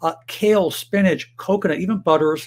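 His speech shows ordinary pitch variation as the man talks. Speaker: health educator. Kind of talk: health advice monologue to camera. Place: home room.

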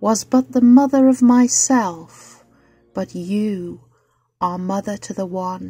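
A woman speaks at a very slow pace in a medium voice, her tone dark and mellow, somewhat breathy, with ordinary pitch variation. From Britain. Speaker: poetry reader. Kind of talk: poetry reading.

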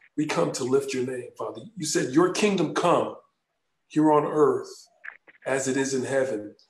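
Here a man in a normal speaking voice talks at a moderate pace, his fairly high pitch showing ordinary variation. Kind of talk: fervent prayer.

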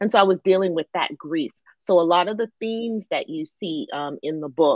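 A woman with an American accent at a moderate pace, ordinary pitch variation, dry sound with no echo and a quiet background. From Northern Virginia, US (DC area), Ghanaian family. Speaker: novelist; guest. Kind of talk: interview. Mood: reflective, sometimes animated. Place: home room. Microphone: video call.

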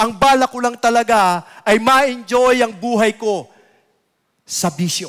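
A man with an extremely high pitch speaks at a fairly slow pace, with ordinary pitch variation. The background is quiet. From Philippines. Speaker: lay preacher. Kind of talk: sermon. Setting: church. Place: church. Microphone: headset.

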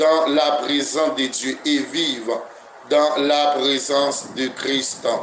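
Over light background noise, a man's voice carries audible room echo. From Haiti. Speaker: pastor; preacher addressing online listeners. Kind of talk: sermon. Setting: internet radio broadcast. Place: home room.

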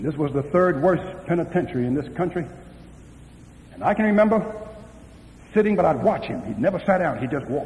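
Talking at a fairly quick pace with long, frequent pauses, a man with an American accent uses lively intonation and a high pitch. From US East Coast. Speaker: pastor. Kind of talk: sermon. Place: hall.

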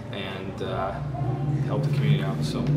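Music plays in the background. Over it, a man speaks at a moderate pace. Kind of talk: interview answer. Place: shop.

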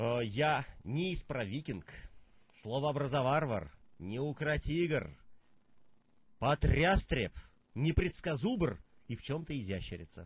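Very slow male speech with long, frequent pauses, a fairly high pitch, lively intonation, vocal fry and a dry sound with no echo. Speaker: poet and performance artist; poet. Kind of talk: interview; poetry reading. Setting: studio. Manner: musical, rhythmic speech. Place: studio.

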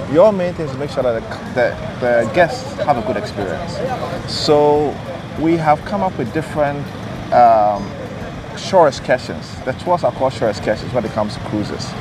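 A man speaks with lively intonation. Background noise is clearly audible. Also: medium pitch for a man, moderate pace.

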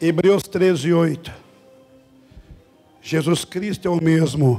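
Faint music plays in the background. A man talks at a high pitch and a very slow pace. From Brazil. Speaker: Pentecostal missionary and preacher. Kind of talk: healing prayer commanding a sick woman. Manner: energetic, exclamatory, commanding. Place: church. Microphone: handheld.

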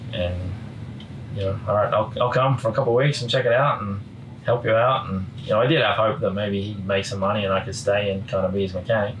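A man with an Australian accent at a very fast pace, with ordinary pitch variation and light background noise. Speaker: motorcycle racer. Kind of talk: casual chat.

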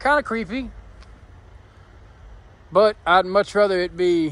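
A man speaks at a fairly slow pace. The sound is dry with no echo. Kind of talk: casual vlog chat. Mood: uneasy, joking. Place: street. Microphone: phone near.

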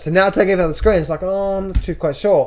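A man talks in an Australian accent at a very fast pace. His pitch variation is ordinary. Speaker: trader and trading educator. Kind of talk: market analysis tutorial. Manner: casual, repetitive phrasing.

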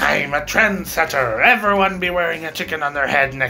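A man puts on a character voice, pitched fairly high. He talks at a fairly quick pace, with clear music in the background. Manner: cheeky, boastful.

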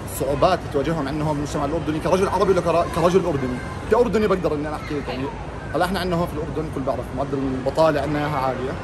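A man in a Jordanian accent at a very fast pace, with noticeable background noise. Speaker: interviewee. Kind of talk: street interview answer. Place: shop. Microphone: phone near.

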